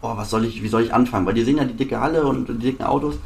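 A man's medium-pitched voice shows ordinary pitch variation. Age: 20s. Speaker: sports car dealer. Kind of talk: interview. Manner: halting.

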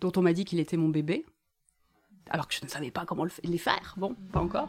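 In a normal speaking voice, a woman talks at a fairly low pitch with ordinary pitch variation on a very clean recording with a silent background. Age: 40s. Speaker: author and activist. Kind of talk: live bookshop talk.

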